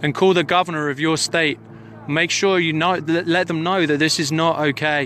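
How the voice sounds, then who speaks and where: Over light background noise, a man's fairly high voice keeps a moderate pace, a bright, sharp tone and fairly even intonation in a dry sound with no echo. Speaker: citizen journalist livestreaming a protest; witness. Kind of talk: live commentary. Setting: outdoors on a hilltop, mobile livestream. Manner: urgent, emphatic. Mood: urgent, indignant. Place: open country. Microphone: phone near.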